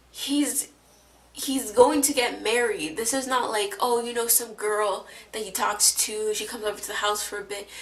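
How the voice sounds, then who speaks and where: A woman talks in a high voice with ordinary pitch variation and big swings in loudness. Noticeable background noise runs underneath. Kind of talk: casual TV recap talk to camera. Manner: casual, hesitant with many fillers.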